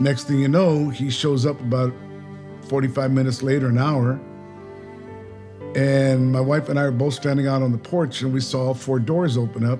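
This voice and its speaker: Over clear music in the background, a man talks at a moderate pace in a monotone, flat intonation, leaving long, frequent pauses. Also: very even loudness. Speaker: interviewee. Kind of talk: interview answer. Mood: reflective, warm. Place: home room.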